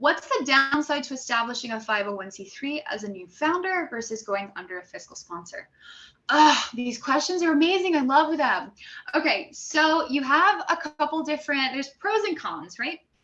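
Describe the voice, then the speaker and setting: Raising and projecting her voice, a woman speaks at a high pitch with a bright, sharp tone, very wide pitch swings, and big swings in loudness. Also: moderate pace. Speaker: grant writing coach. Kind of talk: live Q&A session. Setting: livestream in a Facebook group.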